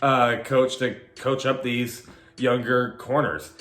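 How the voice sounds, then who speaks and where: The recording carries audible room echo. Noticeable background noise is also present. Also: man. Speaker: sports YouTuber, football fan commentator. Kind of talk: casual vlog commentary. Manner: casual, filler-heavy.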